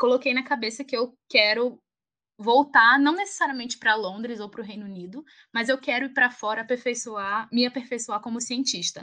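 A woman with a northeastern Brazilian accent speaks in a high voice, her pitch rising and falling in an ordinary way. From Alagoas, northeast Brazil. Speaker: pharmacist and doctoral researcher. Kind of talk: interview.

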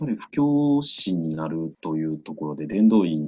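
With ordinary pitch variation, a man's very deep, low voice proceeds at a moderate pace. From Osaka, Japan. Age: 30s. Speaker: Buddhist priest. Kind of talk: interview.

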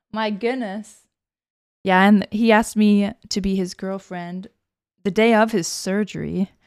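A woman speaks at a fairly slow pace and medium pitch in a monotone, flat intonation with long, frequent pauses, on a very clean recording with a silent background and a dry, close sound with no echo. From New Hampshire.

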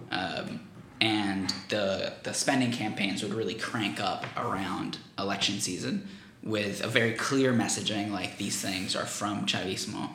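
A man speaks at a fairly low pitch with fairly even intonation. There is audible room echo and noticeable background noise. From Venezuela. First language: Spanish. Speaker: political campaigner, graduate student. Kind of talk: interview.

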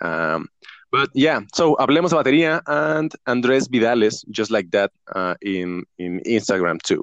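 A man's fairly slow, medium-pitched voice in a Mexican accent, with very wide pitch swings and a dry, close sound with no echo. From Mexico. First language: Spanish. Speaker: professional drummer and online teacher. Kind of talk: casual interview chat. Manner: halting, with frequent restarts.

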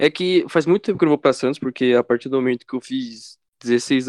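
A normal speaking voice moves at a fairly quick pace. The sound is dry and close with no echo, against a quiet background. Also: man. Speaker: podcast co-host. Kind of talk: casual chat.

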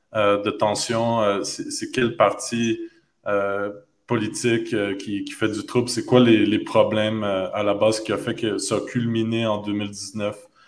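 Speech unfolds at a very slow pace. There is audible room echo. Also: man. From Quebec (Montreal). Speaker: podcast host. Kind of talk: interview. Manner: halting, many repetitions.

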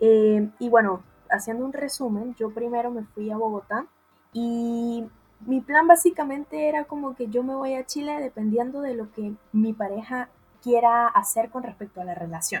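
Her pitch is fairly high, and her pitch variation is ordinary. The woman keeps a moderate pace, with big swings in loudness. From Venezuela. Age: 20s. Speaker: podcast co-host, lawyer and tarot reader. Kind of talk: casual chat.

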